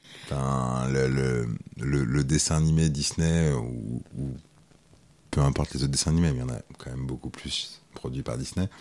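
With noticeable background noise, a man speaks fairly slowly in a very deep, low pitch and fairly even intonation. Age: 30s. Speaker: school supervisor and masseur. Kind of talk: casual interview.

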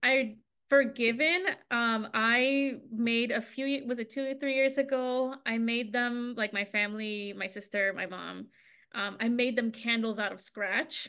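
A woman with a bright, sharp tone and a fairly high pitch speaks at a fairly slow pace with fairly even intonation. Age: 30s. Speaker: podcast co-host. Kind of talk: casual chat.

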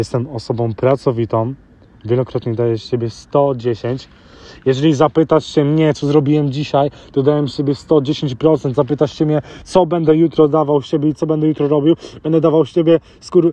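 Recorded dry and close with no echo, a man with a fairly high pitch and a dark, mellow tone talks at a moderate pace with fairly even intonation. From grew up in London, UK (Polish family). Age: 20s. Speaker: motivational podcaster. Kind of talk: motivational monologue. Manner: halting.

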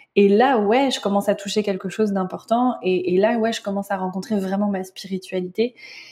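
Her tone is dark and mellow, and somewhat breathy. The woman keeps a fairly quick pace with fairly even intonation. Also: medium pitch for a woman. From France. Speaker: spiritual guide and tarot reader. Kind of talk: interview.

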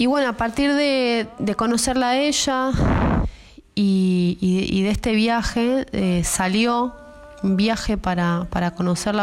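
A woman talks at a very slow pace with ordinary pitch variation. Noticeable background noise runs behind her. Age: 30s. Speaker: ceramicist. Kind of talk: personal testimony. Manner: halting, repeats words.

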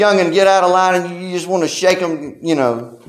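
There is audible room echo as a man speaks at a moderate pace in a high pitch. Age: 30s. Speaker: pastor. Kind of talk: sermon.

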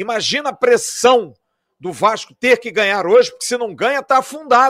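The speaker keeps a moderate pace on a very clean recording with a silent background. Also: man. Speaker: football podcast host. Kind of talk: post-match football talk show. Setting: at the stadium.

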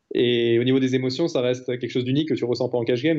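A man speaks at medium pitch. He has an ordinary speaking voice. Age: 20s. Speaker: retired professional poker player. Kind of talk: interview.

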